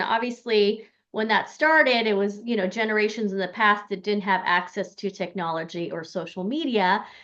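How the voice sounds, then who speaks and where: This woman has a plain, everyday voice with an American accent and a fairly high pitch. She talks at a moderate pace with ordinary pitch variation. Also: hardly any pauses. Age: 40s. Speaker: podcast host. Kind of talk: podcast interview.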